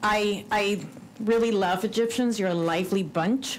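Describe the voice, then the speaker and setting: Amid audible room echo, a woman with a Cuban accent speaks at a moderate pace in a medium pitch, her pitch varying in an ordinary way. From Cuban American. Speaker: religious freedom commissioner. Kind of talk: conference speech.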